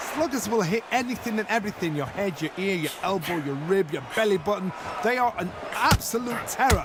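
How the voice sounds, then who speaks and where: Over noticeable background noise, the speaker talks at a fairly quick pace in an animated tone with lively intonation. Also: man, high pitch for a man. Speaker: boxing pundit. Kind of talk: live commentary.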